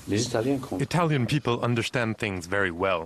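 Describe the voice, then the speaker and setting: The recording of this man is dry, with no echo but noticeable background noise. His pitch varies in an ordinary way. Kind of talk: interview answer. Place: office.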